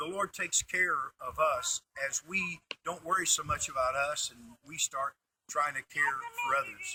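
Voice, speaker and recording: Recorded with a dry, close sound and no echo, a man speaks at a moderate pace with big swings in loudness. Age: 60s. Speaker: pastor. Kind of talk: interview answers. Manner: halting.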